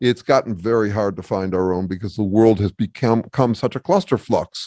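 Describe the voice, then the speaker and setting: Against a quiet background, a man speaks at a fairly quick pace with a fairly low pitch, a dark, mellow tone and ordinary pitch variation, in a dry, close sound with no echo. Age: 60s. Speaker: academic researcher and author. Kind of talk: podcast interview. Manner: halting, with many restarts.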